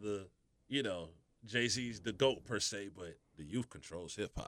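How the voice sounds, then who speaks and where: At a moderate pace, a man with an Atlanta accent speaks in a fairly low pitch with a bright, sharp tone. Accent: Southern US, Atlanta. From Atlanta, US South. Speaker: radio host. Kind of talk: casual interview chat.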